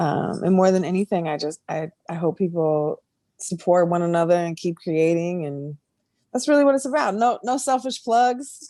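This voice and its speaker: This voice has a dark, mellow tone, moving at a moderate pace with very wide pitch swings. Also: woman, fairly low pitch for a woman. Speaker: music producer and business owner. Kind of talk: casual chat.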